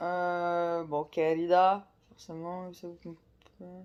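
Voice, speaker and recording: In a flat monotone, a woman speaks with a fairly low pitch. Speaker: book vlogger. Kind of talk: casual vlog talk. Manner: halting, many fillers.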